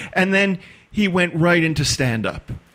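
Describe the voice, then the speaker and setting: With ordinary pitch variation and a moderate pace, this man uses a normal speaking voice. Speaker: storyteller. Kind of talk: podcast interview answer.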